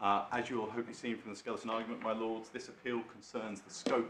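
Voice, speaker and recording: At a very fast pace, a man of medium pitch speaks with an English accent amid audible room echo and noticeable background noise. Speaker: barrister. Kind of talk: legal submissions in court. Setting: courtroom. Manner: quiet; formal.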